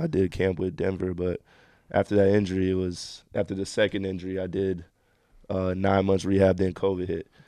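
A man with an American accent, very deep and low in pitch, fairly quick, in a monotone, flat delivery against a quiet background. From Miami, Florida, US. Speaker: professional basketball player. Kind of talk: casual interview. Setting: studio.

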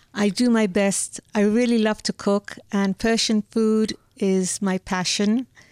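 On a very clean recording with a silent background, a woman speaks at a very slow pace in a fairly high pitch with a monotone, flat intonation, her sound dry and close with no echo. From Hamburg and London. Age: old. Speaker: grandmother and home cook. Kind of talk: casual interview. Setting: studio.

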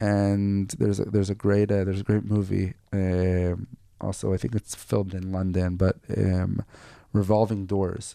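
A man's very deep, low voice with a dark, mellow tone, an Israeli accent and monotone, flat intonation. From northern Israel. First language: Hebrew. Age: 40s. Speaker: entrepreneur. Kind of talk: interview. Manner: halting.

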